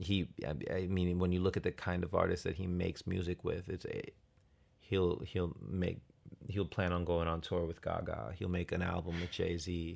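In a very clean recording with a silent background, a man with a very deep, low pitch speaks at a moderate pace in an American accent. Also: fairly even intonation. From US suburbs. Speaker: podcast co-host. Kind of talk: casual chat.

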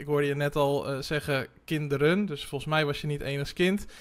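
This man has an unremarkable speaking voice pitched fairly high. His intonation stays fairly even. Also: very clean recording, silent background. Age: 30s. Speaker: podcast host. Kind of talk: interview conversation.

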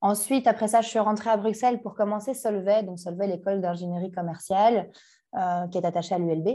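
A woman's dark, mellow voice with fairly even intonation over a quiet background. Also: medium pitch for a woman, fairly quick pace. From Belgium, Brussels (Anderlecht). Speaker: startup founder. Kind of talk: interview.

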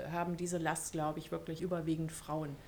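In a monotone with flat intonation, a woman speaks at a moderate pace with a fairly low pitch. Noticeable background noise is audible. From Germany. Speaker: university equality officer. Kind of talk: podcast interview.

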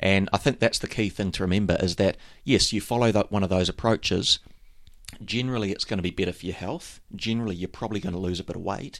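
A man with a New Zealand accent talks at a very fast pace in a fairly low pitch, his intonation fairly even, on a very clean recording with a silent background. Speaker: triathlon coach, podcast co-host. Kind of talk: casual chat.

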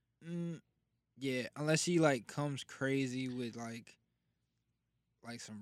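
In a very clean recording with a silent background, a man with an American accent speaks at medium pitch and a moderate pace with fairly even intonation. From New Jersey. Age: 20s. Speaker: rapper. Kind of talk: casual chat. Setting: studio.

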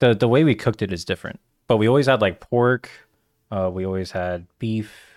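A man talks at a fairly quick pace in a plain, everyday voice, pitched fairly low. His pitch varies in an ordinary way, and the sound is dry and close with no echo. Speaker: podcast host. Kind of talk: casual chat.

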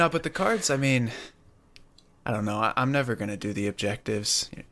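A man speaks at a fairly quick pace in a fairly low pitch with ordinary pitch variation and a plain, everyday voice. The recording is very clean, with a silent background. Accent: American. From Pennsylvania, US. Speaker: gaming content creator. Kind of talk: casual chat.

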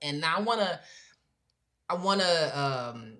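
This woman's pitch is low for a woman, and her tone is fairly bright. Her intonation is lively.

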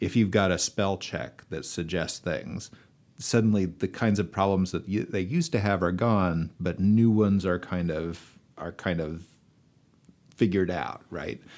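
On a very clean recording with a silent background, a man talks at a fairly slow pace. His pitch is very deep and low, with ordinary pitch variation. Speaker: English professor. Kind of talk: panel discussion. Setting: studio.

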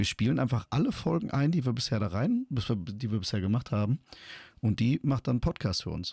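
Man at medium pitch, somewhat breathy with a dark, mellow tone, fairly quick pace and lively intonation, on a very clean recording with a silent background. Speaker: podcast co-host. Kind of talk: casual chat.

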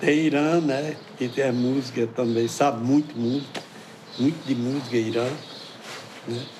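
Long, frequent pauses at a moderate pace, with fairly even intonation over noticeable background noise. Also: man, medium pitch for a man. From Pernambuco sertão, Brazil. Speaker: folk musician and samba percussion master. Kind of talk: interview.

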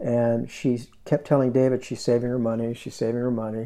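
In an unremarkable speaking voice, a man talks at a moderate pace and a medium pitch with fairly even intonation. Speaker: podcast host. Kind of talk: interview. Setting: in the guest's home.

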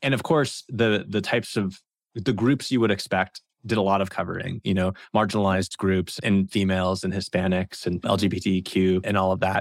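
Talking at a fairly quick pace, a man with an unremarkable speaking voice and fairly low pitch keeps his intonation fairly even and his loudness very even. The sound is dry and close with no echo, on a very clean recording with a silent background. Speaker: co-host. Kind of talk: casual interview.

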